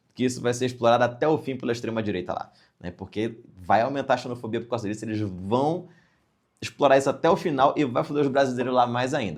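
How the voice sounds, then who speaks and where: In a Brazilian accent, the speaker talks very fast with an animated tone and ordinary pitch variation on a very clean recording with a silent background. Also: man. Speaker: comedian. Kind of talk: satirical news comedy.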